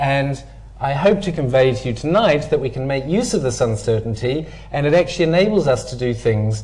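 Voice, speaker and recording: Audible room echo carries a man's medium-pitched voice as he talks at a fairly quick pace with lively intonation. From New Zealand. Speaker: physics lecturer. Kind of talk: public lecture.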